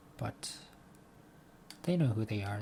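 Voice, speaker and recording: Somewhat breathy, with lively intonation. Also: man. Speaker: vlogger. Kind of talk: casual monologue vlog. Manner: halting, with repeated words.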